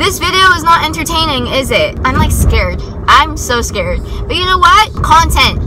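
A woman talks at a moderate speed while noticeable noise fills the background. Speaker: vlogger driving. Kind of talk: casual vlog chat. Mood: nervous, joking. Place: car. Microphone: phone near.

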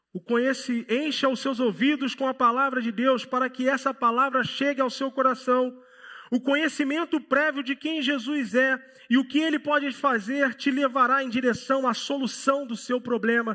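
A man's raised, projected voice, extremely high in pitch, bright and sharp in tone, with monotone, flat intonation at a moderate pace over a quiet background. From Rio de Janeiro, Brazil. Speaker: pastor. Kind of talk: sermon. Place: church. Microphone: headset.

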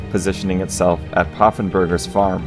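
A man with a very deep, low pitch speaks at a fairly quick pace over background music. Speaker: narrator. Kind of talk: history documentary narration.

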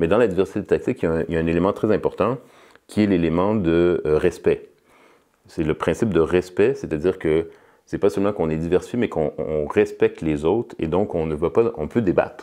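A man speaks at a fairly quick pace. Behind him, the background stays quiet. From Quebec, Montreal. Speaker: political science professor; political science professor, interviewee. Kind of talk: interview. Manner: halting, with many repetitions and fillers. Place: studio.

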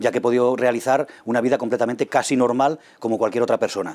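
Speaking at a medium pitch, a man uses fairly even intonation and a dark, mellow tone. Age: 40s. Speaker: kidney transplant patient. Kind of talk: testimony. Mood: calm, grateful. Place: meeting room. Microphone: lapel.

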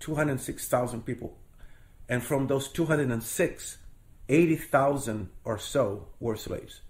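A man with a Portuguese accent speaks at a very slow pace in a medium, somewhat breathy voice with ordinary pitch variation. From Brazil, Rio de Janeiro. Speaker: storyteller. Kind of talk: interview.

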